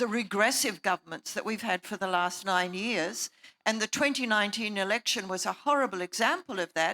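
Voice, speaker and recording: A woman's medium-pitched, bright, sharp voice with an Australian accent, at a fairly quick pace with ordinary pitch variation, in a very clean recording with a silent background and a dry, close sound with no echo. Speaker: panelist. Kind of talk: panel discussion.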